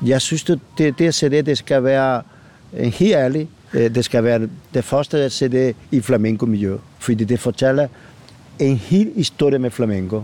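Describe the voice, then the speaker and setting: A man talks in a dark, mellow tone. His pitch varies in an ordinary way. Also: medium pitch for a man. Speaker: flamenco singer. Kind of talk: casual interview. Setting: outdoors. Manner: halting, many fillers and repetitions.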